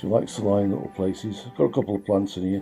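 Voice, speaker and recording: A man with a fairly low pitch talks over music in the background. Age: 70s. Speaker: amateur gardener. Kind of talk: casual garden tour talk to camera.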